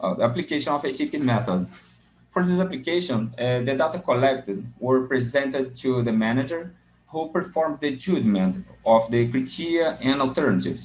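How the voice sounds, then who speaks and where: A man at medium pitch, fairly quick and lively in intonation, amid audible room echo. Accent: Portuguese. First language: Portuguese. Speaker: graduate student presenting a paper. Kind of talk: conference paper presentation. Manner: halting, with many fillers; reading from notes.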